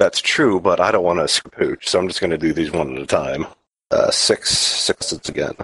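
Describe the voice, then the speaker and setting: The sound is close and dry, without any echo. A man is speaking at a moderate pace. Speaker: tabletop roleplaying player. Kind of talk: actual play roleplaying game session. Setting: online voice call over VPN.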